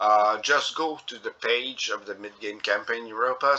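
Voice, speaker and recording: Moderate pace in a strong French Canadian accent. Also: man. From Quebec. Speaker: gaming youtuber. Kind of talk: gameplay commentary. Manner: halting, many fillers.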